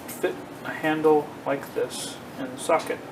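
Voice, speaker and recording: A man speaks with a fairly high pitch and ordinary pitch variation. Room echo is audible, and background noise is noticeable. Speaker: woodworking hobbyist. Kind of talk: casual shop tutorial. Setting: home garage workshop. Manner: hesitant, many fillers.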